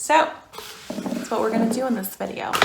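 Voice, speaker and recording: Audible room echo surrounds a woman with an American accent whose pitch varies in an ordinary way. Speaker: beauty vlogger. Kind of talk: casual vlog talk. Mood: chatty, upbeat.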